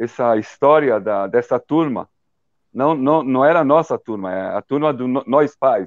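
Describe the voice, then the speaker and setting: In a Hebrew accent, a man speaks at a fairly slow pace and a medium pitch with ordinary variation. The sound is dry and close with no echo, against a quiet background. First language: Hebrew (speaking Portuguese). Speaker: documentary director. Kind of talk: interview. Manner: halting.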